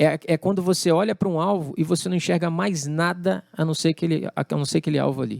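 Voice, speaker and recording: At a fairly quick pace with hardly any pauses, a man speaks at a high pitch with fairly even intonation, in a dry, close sound with no echo. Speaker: drummer and music producer. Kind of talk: interview conversation.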